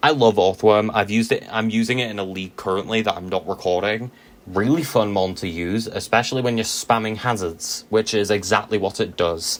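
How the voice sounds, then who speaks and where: With a normal speaking voice, a man talks at a fairly low pitch with fairly even intonation and hardly any pauses. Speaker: Pokemon draft league player and YouTuber. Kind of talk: casual gaming commentary. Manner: casual, with filler ums.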